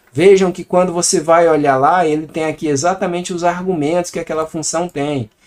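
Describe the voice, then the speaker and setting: The speaker talks at a moderate pace with a Brazilian accent. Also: man. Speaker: programming teacher. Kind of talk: tutorial. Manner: casual.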